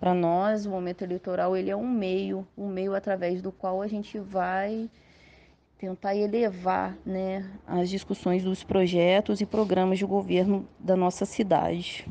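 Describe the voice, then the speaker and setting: Speaking at a fairly slow pace, the voice has a dark, mellow tone and a monotone, flat intonation. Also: woman, medium pitch for a woman. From Volta Redonda, Rio de Janeiro state, Brazil. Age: 30s. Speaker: politician, history teacher. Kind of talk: interview.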